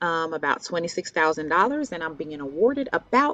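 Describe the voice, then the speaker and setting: Music plays in the background as a woman speaks at a fairly low pitch with lively intonation. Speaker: college advisor. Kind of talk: tutorial. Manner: hesitant, many fillers.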